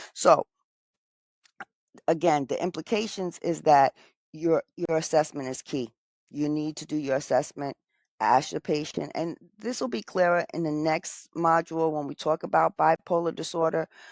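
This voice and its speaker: Against a quiet background, a woman with a very deep, low voice speaks at a moderate pace with long, frequent pauses, in a dry, close sound with no echo. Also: ordinary pitch variation. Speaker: nursing educator. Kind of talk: lecture.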